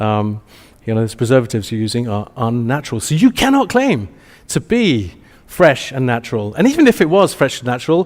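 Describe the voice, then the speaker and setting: In an Essex accent, a man talks fairly quickly with lively intonation at a medium pitch. The recording is very clean, with a silent background. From England, Essex. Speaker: marketing agency executive, conference speaker. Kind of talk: conference presentation. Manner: many fillers and restarts.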